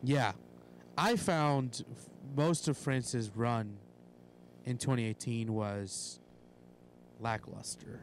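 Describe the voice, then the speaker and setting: At a very slow pace, a man with medium pitch speaks with long, frequent pauses. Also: ordinary pitch variation. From Puerto Rico. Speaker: soccer fan podcaster. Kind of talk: casual chat.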